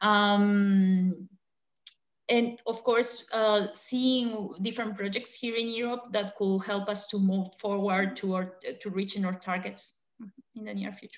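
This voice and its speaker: A woman with a Spanish accent, medium pitch, fairly even intonation, big swings in loudness and a fairly slow pace. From Colombia. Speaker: battery research engineer. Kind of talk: interview.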